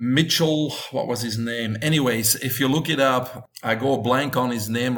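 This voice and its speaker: Someone speaks with a Belgian accent at a very slow pace. The intonation stays fairly even. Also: man. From Belgium. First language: Dutch. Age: 50s. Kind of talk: interview.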